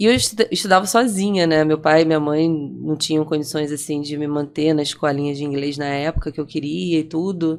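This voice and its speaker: A woman with a Rio de Janeiro accent, very deep and low in pitch, fairly quick with hardly any pauses and ordinary pitch variation, on a very clean recording with a silent background. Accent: Brazilian Portuguese, carioca. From Brazil, Rio de Janeiro. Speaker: franchisee and entrepreneur. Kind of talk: podcast interview, personal story.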